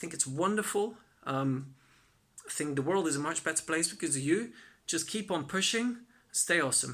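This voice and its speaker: The speaker has a Flemish accent and a moderate pace. Long pauses come often. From Belgium (Flanders). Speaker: content creator and freelance developer. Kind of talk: recorded advice talk to workshop participants.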